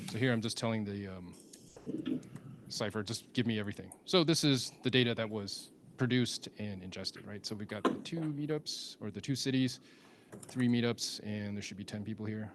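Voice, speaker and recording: A man with an unremarkable speaking voice, medium pitch, ordinary pitch variation and a fairly quick pace. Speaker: software developer advocate presenting a tool. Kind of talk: live technical demo with audience Q&A.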